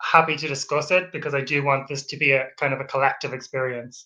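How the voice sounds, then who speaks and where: A man with an Irish accent speaks in a bright, sharp tone. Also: quiet background. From Ireland. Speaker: PhD researcher. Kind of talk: webinar lecture. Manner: halting.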